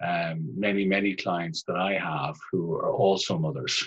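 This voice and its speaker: With an Irish accent, a man speaks at a fairly slow pace. His voice is very deep and low, with ordinary pitch variation. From Ireland. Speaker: family therapist. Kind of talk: interview. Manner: formal.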